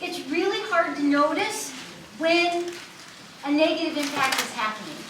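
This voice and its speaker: Amid noticeable background noise and audible room echo, a woman with an American accent speaks at a moderate pace in an extremely high voice. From USA. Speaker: university student services staff. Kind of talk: lecture.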